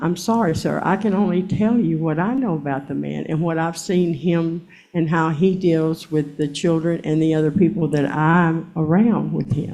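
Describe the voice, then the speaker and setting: This is an ordinary speaking voice at a moderate pace, with ordinary pitch variation and hardly any pauses. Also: woman, fairly low pitch for a woman. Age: 60s. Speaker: court witness. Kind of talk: court testimony. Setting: courtroom. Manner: defensive.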